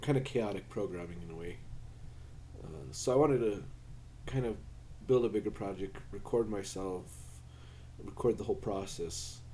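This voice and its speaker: A man's fairly low, dark, mellow voice with vocal fry, very wide pitch swings, a moderate pace and audible room echo. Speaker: maker and programmer vlogger. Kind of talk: casual project vlog. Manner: halting, many fillers; self-deprecating, unpolished.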